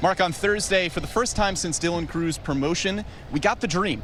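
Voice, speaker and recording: A man with an American accent speaks at a moderate pace in a high pitch, with an upbeat, energetic tone. Music plays in the background. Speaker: sports broadcaster. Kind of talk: sports broadcast pre-game and post-game show hosting.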